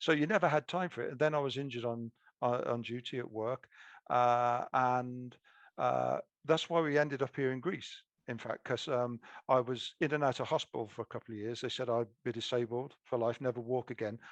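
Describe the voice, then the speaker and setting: Against a quiet background with a dry, close sound and no echo, a man with a British accent and a medium pitch speaks at a fairly quick pace with ordinary pitch variation. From UK. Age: 60s. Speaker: author. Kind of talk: interview. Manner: halting.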